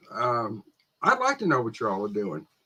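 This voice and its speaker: The man's voice has a bright, sharp tone. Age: 60s. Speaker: antique dealer and live sale host. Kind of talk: live sale stream chat. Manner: halting, many fillers.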